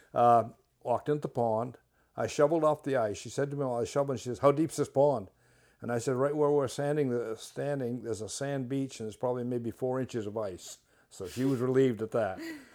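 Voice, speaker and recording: A man with a Maine accent talks at a very fast clip in a dark, mellow tone, his intonation fairly even, on a very clean recording with a silent background. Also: medium pitch for a man. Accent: Maine (New England). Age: 80s+. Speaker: retired park director. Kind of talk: interview. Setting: at guest's home.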